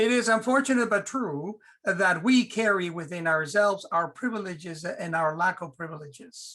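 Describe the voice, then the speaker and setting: A man with a high pitch speaks in a raised, projected voice with a bright, sharp tone. His intonation is lively, his pace moderate, and he barely pauses. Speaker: theology professor. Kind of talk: panel discussion. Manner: animated.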